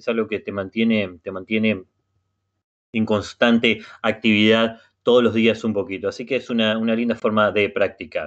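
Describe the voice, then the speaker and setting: A man with a Rioplatense accent and monotone, flat intonation over a quiet background. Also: moderate pace. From Uruguay. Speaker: native-speaker language facilitator. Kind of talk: online language class. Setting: video call. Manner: halting. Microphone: video call.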